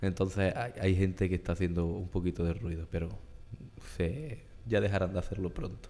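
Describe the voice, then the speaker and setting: With audible room echo, a man speaks in a very deep, low pitch and a dark, mellow tone. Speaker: podcast host. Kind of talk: interview. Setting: church.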